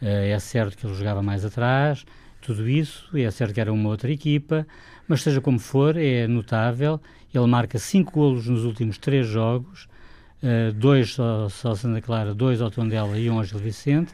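A man's dark, mellow tone at a medium pitch and moderate pace. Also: ordinary pitch variation. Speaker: football pundit, club fan. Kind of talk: radio debate.

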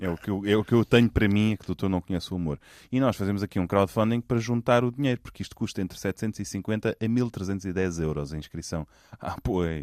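At a fairly quick pace, a man with a fairly low pitch and ordinary pitch variation talks in an unremarkable speaking voice, recorded very cleanly against a silent background with a dry, close sound and no echo. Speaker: podcast co-host. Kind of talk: casual chat.

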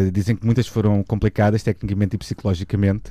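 A man's fairly low-pitched, dark and mellow voice at a very fast pace. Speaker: radio co-host. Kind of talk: casual chat.

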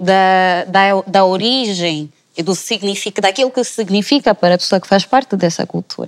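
A woman talks at a medium pitch. She has an unremarkable speaking voice. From Angola. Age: 20s. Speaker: political science student. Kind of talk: panel discussion.

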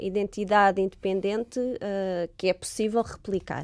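Here is a woman with a plain, everyday voice at medium pitch, moderate pace and ordinary pitch variation. The recording is very clean, with a silent background. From Portugal, Lisbon. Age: 30s. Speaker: astrobiologist. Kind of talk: interview.

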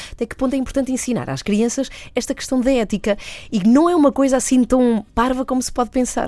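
A woman speaks very fast in a high pitch, her dark, mellow tone carrying ordinary pitch variation. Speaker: radio host. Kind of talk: radio interview.

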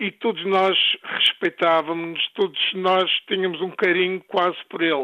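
A high-pitched man in monotone, flat intonation at a fairly slow pace. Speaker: former footballer. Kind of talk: interview testimony.

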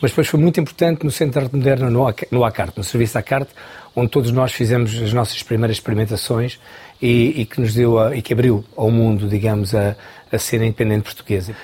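At a very fast pace, a man speaks at medium pitch in a somewhat breathy, dark, mellow tone, with very even loudness and ordinary pitch variation. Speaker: choreographer. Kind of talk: interview.

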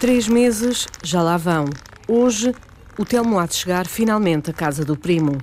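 A woman's medium-pitched voice, fairly slow, with lively intonation and noticeable background noise. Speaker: radio reporter narrating. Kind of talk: scripted narration.

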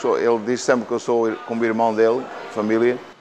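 At a moderate pace, a man speaks at medium pitch over noticeable background noise. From Portugal. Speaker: restaurant and gym owner. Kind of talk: interview.

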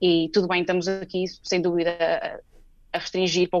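Moving at a fairly quick pace, a woman talks in a fairly low pitch. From Portugal. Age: 20s. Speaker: PhD researcher in oncology. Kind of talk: radio interview.

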